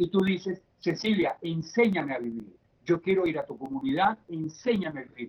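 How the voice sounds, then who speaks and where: At a moderate pace, a man with a high pitch speaks in very wide pitch swings. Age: 50s. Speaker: addiction therapist. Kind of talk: interview.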